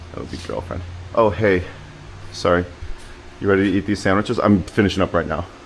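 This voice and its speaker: A loud man's very deep, low voice, very fast yet broken by long, frequent pauses, flat and monotone over noticeable background noise. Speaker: car-repair YouTuber. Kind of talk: casual DIY tutorial monologue. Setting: home garage. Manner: rambling, hesitant with fillers.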